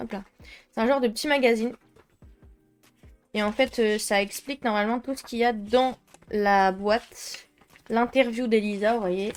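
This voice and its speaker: Over music in the background, a woman with a French accent speaks at a fairly high pitch with fairly even intonation and long, frequent pauses. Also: moderate pace. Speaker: art youtuber. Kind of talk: unboxing video. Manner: casual, hesitant with fillers.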